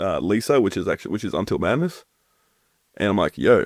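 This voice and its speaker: A man in an Australian accent talks at a fairly quick pace. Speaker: deathcore vocalist. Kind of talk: casual chat.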